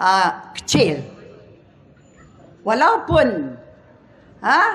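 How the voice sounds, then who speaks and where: A woman talks at a very slow pace. Noticeable background noise is heard behind her. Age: 70s. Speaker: politician. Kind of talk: political rally speech.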